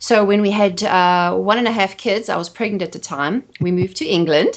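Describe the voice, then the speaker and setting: With a South African accent, a woman talks at a fairly quick pace, her medium pitch showing ordinary variation. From South Africa, Johannesburg. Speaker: photographer and marketing expert. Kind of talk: podcast interview.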